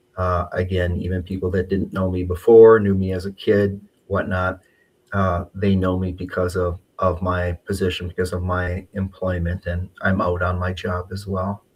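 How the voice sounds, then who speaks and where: This man's voice has a very deep, low pitch and is somewhat breathy. He speaks in a monotone, flat way. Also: moderate pace, very clean recording, silent background. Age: 60s. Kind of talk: live interview. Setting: livestream.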